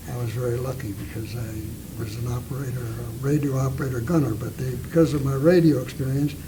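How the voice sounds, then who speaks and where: With hardly any pauses, a man talks at a medium pitch with ordinary pitch variation, amid noticeable background noise and audible room echo. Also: fairly quick pace. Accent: American. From Napa, California. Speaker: war veteran and longtime local resident. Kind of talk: oral history interview.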